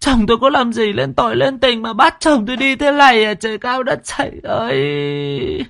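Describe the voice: A man puts on a character voice at an extremely high pitch, with vocal fry and a fairly bright tone. He keeps a moderate pace with lively intonation.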